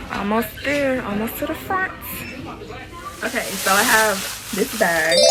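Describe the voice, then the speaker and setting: Over background music and audible room echo, a woman speaks at a fairly slow pace with lively intonation and long, frequent pauses. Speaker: beauty and fashion vlogger. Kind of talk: casual vlog haul. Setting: beauty supply store, then at home. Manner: animated; quiet in store.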